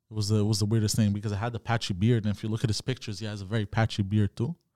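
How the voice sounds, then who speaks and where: Talking at a very fast pace, a man has a fairly low pitch and a dark, mellow tone on a very clean recording with a silent background. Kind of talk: casual chat. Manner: animated.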